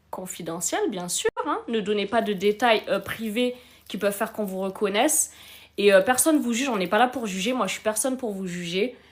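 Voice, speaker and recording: Over noticeable background noise, a woman speaks at a moderate pace and fairly high pitch, with ordinary pitch variation. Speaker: relationship coach hosting a live stream. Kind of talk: live advice stream.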